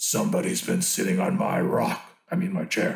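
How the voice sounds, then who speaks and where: Putting on a character voice, a man growls in a gruff, raspy, high-pitched tone at a moderate pace, with a slight echo. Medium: read story.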